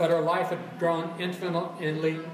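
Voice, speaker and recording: High-pitched male voice with audible room echo and noticeable background noise. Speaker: fiction writer reading at open mic. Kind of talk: reading aloud. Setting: cafe with audience.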